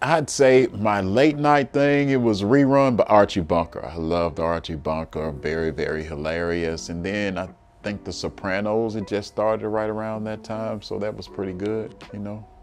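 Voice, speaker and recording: Over light background noise, a man speaks at a moderate pace with hardly any pauses. His pitch is fairly low, and his loudness swings widely. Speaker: interviewee. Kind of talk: interview answer. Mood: relaxed, reflective, some laughs. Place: office. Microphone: lapel.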